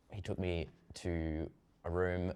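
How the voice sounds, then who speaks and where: Speaking with an Australian accent, a man has a very deep, low pitch and vocal fry. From Tasmania, Australia. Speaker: actor. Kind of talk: casual interview. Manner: casual with many fillers.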